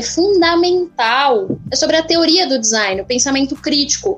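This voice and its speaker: A woman's fairly slow speech with ordinary pitch variation over noticeable background noise. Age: 20s. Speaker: design student and artist. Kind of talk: casual interview.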